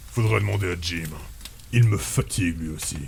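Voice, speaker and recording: In a put-on character voice, a man speaks with a calm tone at a very deep, low pitch and a moderate pace, with clear background noise. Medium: actual play. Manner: calm, laconic.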